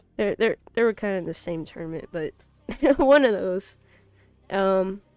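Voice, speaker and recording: Recorded dry and close with no echo, a woman speaks at a moderate pace with lively intonation while music plays in the background. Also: medium pitch for a woman. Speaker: esports tournament streamer and caster. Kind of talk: live esports commentary.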